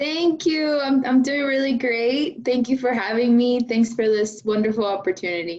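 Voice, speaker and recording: Hardly pausing, a woman speaks with a Spanish accent at a high pitch. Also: ordinary pitch variation, moderate pace. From Venezuela, Maracaibo; moved to Oklahoma at 10. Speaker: engineering graduate student. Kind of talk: interview.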